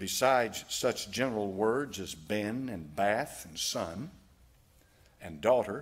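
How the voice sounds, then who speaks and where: A man with a Southern US accent at a very slow pace. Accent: American Southern. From United States. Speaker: preacher, pastor. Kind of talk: sermon preached to a congregation. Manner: reading aloud from a text. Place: church. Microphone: podium.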